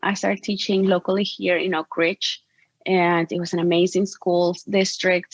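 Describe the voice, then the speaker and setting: With a Spanish accent, a woman speaks at a medium pitch and a moderate pace. The sound is dry and close with no echo, over a quiet background. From Mexico. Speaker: portrait photographer. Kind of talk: interview.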